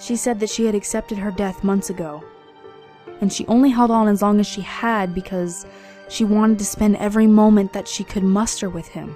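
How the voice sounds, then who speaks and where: Music plays in the background as a woman talks at a fairly quick pace with fairly even intonation. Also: medium pitch for a woman. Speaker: narrator. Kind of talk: horror story narration.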